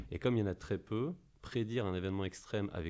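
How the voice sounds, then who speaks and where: A man's speech moves along fairly quickly. Nothing much stirs behind him. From France. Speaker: investment company representative; podcast debrief. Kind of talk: casual chat. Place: office. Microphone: studio mic.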